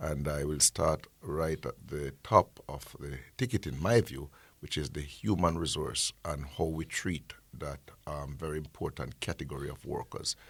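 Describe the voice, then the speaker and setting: Vocal fry at a fairly slow pace. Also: man, very deep, low pitch for a man, ordinary pitch variation. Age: 60s. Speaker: agency executive director. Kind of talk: radio interview. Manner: halting.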